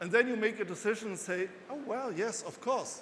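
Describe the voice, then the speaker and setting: In a room with audible echo, a man with a German accent talks at an extremely high pitch, with ordinary pitch variation. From Germany. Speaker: financial analyst and author. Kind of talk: conference talk. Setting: stage with audience.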